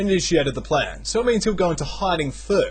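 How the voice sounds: A reading voice that sounds natural, with ordinary shifts in pitch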